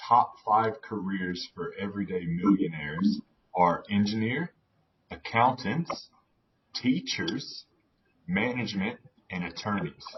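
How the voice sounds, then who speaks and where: An American-accented man speaks at a fairly slow pace in a medium pitch, somewhat breathy, with lively intonation. His loudness swings widely. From US South, North Carolina. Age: 30s. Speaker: personal finance coach. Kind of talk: podcast interview.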